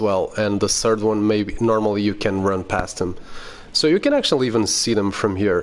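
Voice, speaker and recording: A man's fairly low-pitched voice with a Portuguese accent. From Portugal. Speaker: gaming youtuber. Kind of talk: gameplay tutorial commentary. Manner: casual, halting with fillers.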